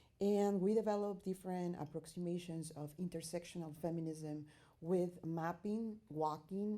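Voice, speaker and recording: With a Spanish accent, a woman talks at a moderate pace and a fairly low pitch. Her tone is dark and mellow, her intonation fairly even. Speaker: artist and researcher. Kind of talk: conference presentation. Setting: academic conference. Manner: halting, with many fillers.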